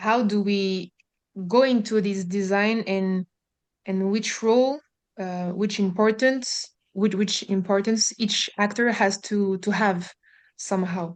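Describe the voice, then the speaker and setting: In a strong French accent, a woman of medium pitch speaks at a fairly slow pace with fairly even intonation. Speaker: housing developer, webinar participant. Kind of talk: question in a webinar. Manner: halting, many fillers.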